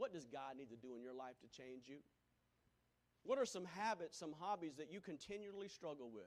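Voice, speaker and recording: A man with a South Carolina accent speaks with an animated tone, lively intonation and a fairly high pitch. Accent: Southern US (South Carolina). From US South, Greenville, South Carolina. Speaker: pastor. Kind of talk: sermon.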